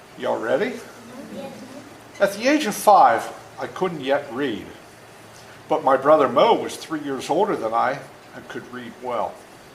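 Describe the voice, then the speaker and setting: Lively intonation, big swings in loudness and long, frequent pauses mark this fairly slow delivery with an American accent. Audible room echo and noticeable background noise fill the recording. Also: man, fairly high pitch for a man. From rural US, dairy farm. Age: 70s. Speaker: author reading to children. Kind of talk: reading aloud. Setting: classroom with children. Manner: animated, engaging with kids.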